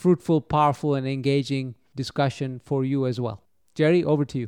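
Delivered at a fairly quick pace, the dark, mellow voice has a dry, close sound with no echo and a quiet background. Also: man. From Kenya, of Indian descent. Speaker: corporate executive. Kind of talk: panel discussion.

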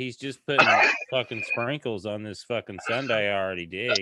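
At a moderate pace, a man uses a normal speaking voice with lively intonation. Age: 30s. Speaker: podcast co-host. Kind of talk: casual chat.

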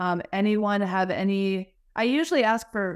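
A woman with an American accent speaks in a normal speaking voice at a medium pitch with ordinary pitch variation. The recording is very clean, with a silent background. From Wisconsin, US Midwest. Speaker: podcast host, marketing executive. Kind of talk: podcast interview.

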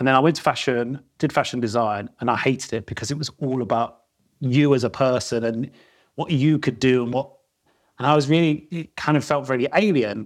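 A man with a South London accent speaks fairly quickly at a medium pitch, with ordinary pitch variation. The recording is very clean, its background silent. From South London, England. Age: 40s. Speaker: retail creative. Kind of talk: casual interview. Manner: informal, filler words.

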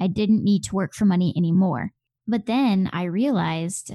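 A woman with a Midwestern accent speaks at a moderate pace, her medium-pitched voice dark and mellow in tone with ordinary pitch variation. The sound is dry and close with no echo, over a quiet background. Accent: general American, Midwestern. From US Midwest. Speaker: blogger and founder of a personal finance website. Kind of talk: casual interview over video call. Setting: video call.

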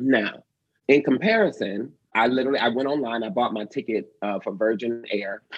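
At a moderate pace and medium pitch, a man talks in an ordinary speaking voice with ordinary pitch variation. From Detroit, Michigan. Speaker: actor, dancer and choreographer. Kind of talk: interview conversation.

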